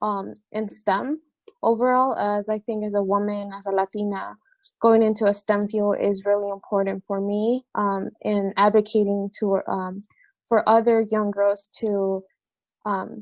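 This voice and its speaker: Speaking at a fairly slow pace, a woman has a medium pitch. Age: 20s. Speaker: co-founder of a community project, college student. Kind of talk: interview. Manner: hesitant, many fillers.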